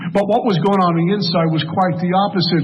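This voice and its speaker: A man with a Brooklyn accent, high pitch and fairly even intonation, amid noticeable background noise and audible room echo. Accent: New York (Brooklyn). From Brooklyn, New York, US. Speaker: AA speaker, recovered alcoholic. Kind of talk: recovery testimony talk.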